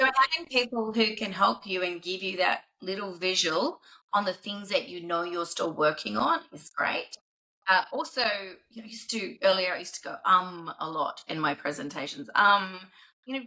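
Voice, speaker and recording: With a New Zealand accent, a woman speaks at a medium pitch. Her tone is bright and sharp, her loudness swinging widely. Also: lively intonation. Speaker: business executive. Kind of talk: podcast interview. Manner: fast.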